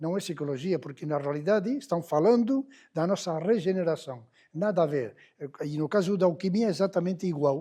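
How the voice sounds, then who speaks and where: A man with a Spanish accent speaks at a moderate pace and a high pitch. His tone is dark and mellow, and his intonation lively. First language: Spanish or Catalan (speaking Portuguese). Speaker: lecturer on hermetic philosophy. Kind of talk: lecture. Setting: public library talk with audience. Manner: halting, many fillers.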